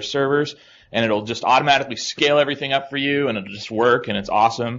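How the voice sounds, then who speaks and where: This is a man's voice at medium pitch. His pitch varies in an ordinary way. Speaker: conference speaker. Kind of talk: conference talk. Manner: fast; many filler words.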